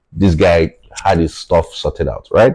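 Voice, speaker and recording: The voice is somewhat breathy, with a Nigerian accent. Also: man. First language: Yoruba. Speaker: tech founder. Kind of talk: podcast interview.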